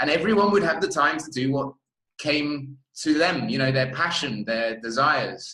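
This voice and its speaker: Speaking with an English accent at a moderate pace, a man has a fairly high pitch. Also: ordinary pitch variation. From England. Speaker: festival interviewer. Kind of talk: interview.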